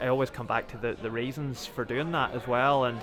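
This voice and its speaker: A man with a Northern Irish accent talks fairly quickly at a medium pitch with fairly even intonation. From Northern Ireland, County Antrim. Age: 30s. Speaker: footballer. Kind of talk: interview. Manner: halting.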